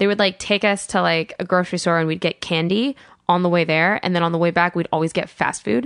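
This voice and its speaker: A woman's very fast speech, fairly low in pitch, with ordinary pitch variation over a quiet background. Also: dry, close sound with no echo. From Colorado, US, Iraqi-American family. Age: 20s. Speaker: comedian. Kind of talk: casual chat.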